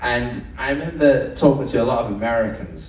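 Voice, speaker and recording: With a Manchester accent and an animated tone, a man speaks at a medium pitch amid audible room echo and noticeable background noise. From northern England, Manchester. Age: 30s. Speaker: cruise ship entertainment host. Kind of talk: live event hosting. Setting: stage with audience.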